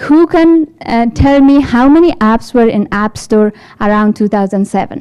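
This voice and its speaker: A woman with an Afghan accent, fairly high pitch, lively intonation and a fairly slow pace. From Afghanistan. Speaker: developer support engineer. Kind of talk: tech talk. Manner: halting.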